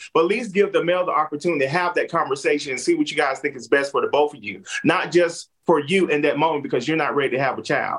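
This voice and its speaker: An energetic tone at a very fast pace, with ordinary pitch variation and big swings in loudness. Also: man, fairly high pitch for a man. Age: 30s. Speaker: podcast co-host. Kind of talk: panel debate.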